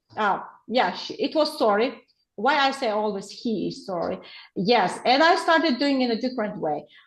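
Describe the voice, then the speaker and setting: A woman with a high voice and an Uzbek accent speaks at a moderate pace with lively intonation. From Uzbekistan. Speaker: teacher trainer, researcher. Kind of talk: webinar Q&A answer. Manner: halting.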